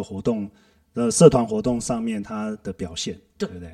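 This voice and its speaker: A man speaks at a moderate pace in a normal speaking voice. His intonation is fairly even. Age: 40s. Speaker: systems analyst at a company. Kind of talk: casual chat.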